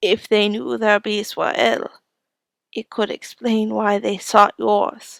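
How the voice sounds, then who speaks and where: A woman does a put-on character voice, raspy and medium-pitched. She goes at a fairly slow pace, and the sound is dry and close with no echo. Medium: read story. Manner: calm, gentle, measured.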